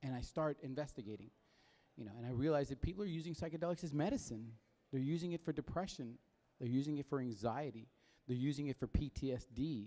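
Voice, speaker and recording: This man talks at a very fast pace with a fairly high pitch, a dark, mellow tone and ordinary pitch variation. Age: 50s. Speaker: festival guest speaker, former journalist. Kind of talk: presentation talk.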